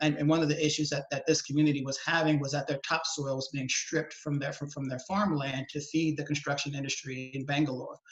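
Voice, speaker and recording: A man with an American accent talks very fast, with hardly any pauses and a fairly high pitch. His intonation is monotone and flat, and there is noticeable background noise. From US South, New Orleans, Louisiana. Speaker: environmental policy advocate. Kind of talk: webinar interview. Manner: halting, many fillers and repetitions.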